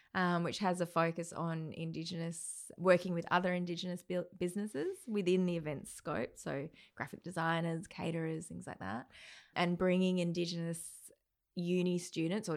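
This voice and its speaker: In a very clean recording with a silent background, a woman with an Australian accent speaks at a moderate pace, her fairly low pitch held in a flat monotone. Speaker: events company owner. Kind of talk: casual chat.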